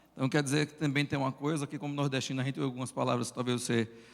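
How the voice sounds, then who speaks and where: A man with a northeastern Brazilian accent, in a flat monotone. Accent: Brazilian Northeastern accent, noticeable. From Northeast Brazil. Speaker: pastor and church planter. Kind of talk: conference talk.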